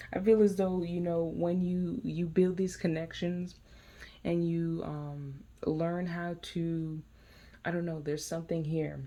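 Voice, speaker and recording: At a fairly slow pace, a woman speaks in a fairly low pitch with a dark, mellow tone and monotone, flat intonation. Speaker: tarot reader. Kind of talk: tarot reading. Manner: halting.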